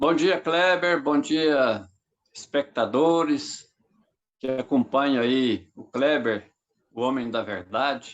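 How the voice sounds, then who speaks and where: A man with a fairly high voice and ordinary pitch variation speaks at a very slow pace. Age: 60s. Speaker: politician. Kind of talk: political interview.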